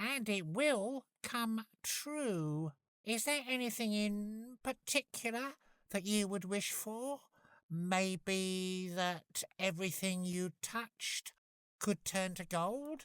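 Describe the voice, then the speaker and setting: A female-sounding voice at medium pitch drawls in a put-on character voice at a very slow pace. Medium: read story.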